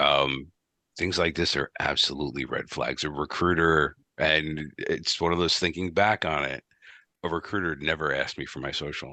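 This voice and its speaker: A man with an American accent speaks at a moderate pace with a very deep, low pitch, vocal fry and fairly even intonation. His tone is bright and sharp over a quiet background. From US East Coast. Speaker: IT director. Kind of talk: podcast interview.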